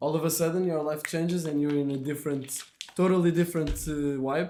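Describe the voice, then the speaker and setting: Over noticeable background noise and audible room echo, a man with a Portuguese accent talks at a fairly quick pace, his fairly high pitch held in a monotone, flat intonation. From Portugal. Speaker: podcast host. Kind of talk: casual chat.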